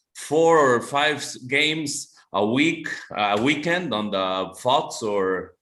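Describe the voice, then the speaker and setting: With audible room echo around him, a man speaks very slowly in a fairly high pitch with lively intonation. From Costa Rica. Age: 40s. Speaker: amateur American football player. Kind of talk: webinar interview.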